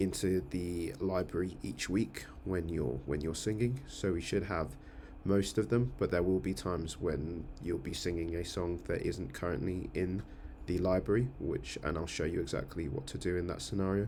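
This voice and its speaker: A man with a very deep, low pitch and a dark, mellow tone shows vocal fry and ordinary pitch variation. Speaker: church music team coordinator. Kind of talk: screen-share tutorial. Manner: fast; hesitant, many fillers.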